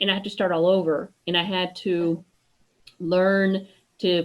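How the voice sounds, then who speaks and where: This speaker has a Spanish accent and fairly even intonation. The pace is fairly slow. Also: woman. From US, partly raised in Mexico. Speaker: podcast host. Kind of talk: interview conversation.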